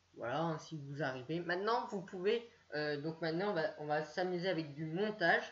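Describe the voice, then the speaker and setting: A woman's very deep, low voice at a fairly quick pace with ordinary pitch variation. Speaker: YouTuber. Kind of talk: screen-share tutorial. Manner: halting, many fillers.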